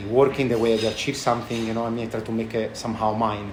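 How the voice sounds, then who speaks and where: A man at medium pitch with a strong Italian accent, talking at a very fast pace amid noticeable background noise and audible room echo. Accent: thick Italian. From Italy, Tuscany. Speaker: chef and restaurant owner. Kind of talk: interview. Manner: halting, many fillers.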